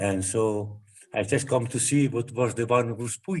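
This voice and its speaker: Here a man speaks with an Italian accent. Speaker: ashram devotee. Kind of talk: spiritual group discussion. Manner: halting.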